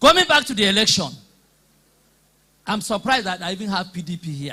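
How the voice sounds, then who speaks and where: A man talks at a very fast pace in a high, raised, projected voice with big swings in loudness. His tone is bright, sharp and animated, with lively intonation. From Nigeria. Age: 60s. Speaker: politician and former teacher. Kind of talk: public debate speech. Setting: hall with live audience.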